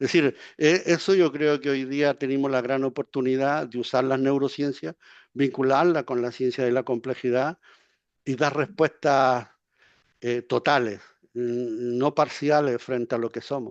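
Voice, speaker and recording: A man at medium pitch, fairly slow and with fairly even intonation, in a dry, close sound with no echo against a quiet background. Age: 60s. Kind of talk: Q&A comment in online talk. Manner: halting, repeats words.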